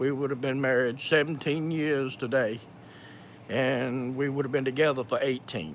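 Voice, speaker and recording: At a moderate pace, a man with a strong Georgia accent speaks at a medium pitch. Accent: thick Georgia. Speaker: video creator sharing personal medical experience. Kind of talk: live Q&A with personal testimony. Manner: halting, many fillers and repetitions.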